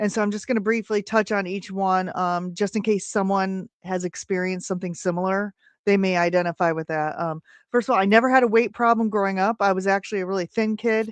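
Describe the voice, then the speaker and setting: With an American accent, a woman talks at a very fast pace in a medium pitch, her intonation fairly even, the sound dry and close with no echo over a quiet background. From Indiana, US Midwest. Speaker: health coach. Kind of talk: testimony.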